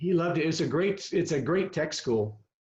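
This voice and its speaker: A man with a US Midwestern accent, speaking at a moderate pace. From Kansas (Girard, southeast). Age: 70s. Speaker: veteran coach. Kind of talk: casual chat. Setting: video call.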